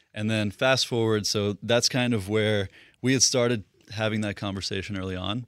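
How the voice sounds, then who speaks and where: Recorded very cleanly against a silent background, a man with an unremarkable speaking voice talks at a moderate pace, his fairly low pitch held in fairly even intonation. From Russia, moved to US East Coast at eight. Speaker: business founder. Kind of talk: interview.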